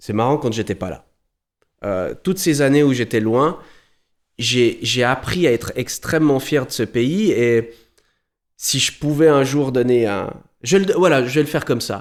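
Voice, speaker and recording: Speaking at a fairly slow pace in a Vaud accent, the voice has lively intonation and long, frequent pauses, on a very clean recording with a silent background. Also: man, medium pitch for a man. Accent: Swiss French, Vaud. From Switzerland, Valais, grew up in Vaud. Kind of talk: podcast interview. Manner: hesitant, many repetitions.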